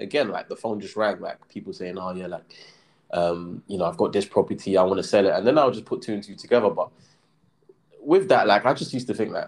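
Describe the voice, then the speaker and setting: A man with a London accent talks at a very fast pace, his loudness swinging widely. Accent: London English (Multicultural London English). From south London (Brixton). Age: 20s. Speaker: property developer and crypto entrepreneur. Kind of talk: casual interview. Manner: hesitant, many fillers.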